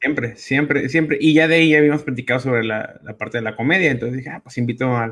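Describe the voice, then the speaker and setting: The clip has an ordinary speaking voice whose pitch moves in an ordinary way. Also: man. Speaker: comedian. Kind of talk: casual chat, slangy.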